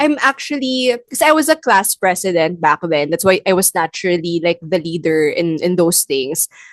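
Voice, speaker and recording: This woman talks at a moderate pace with a medium pitch and very wide pitch swings. The sound is dry and close, with no echo. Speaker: podcast host. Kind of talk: casual chat.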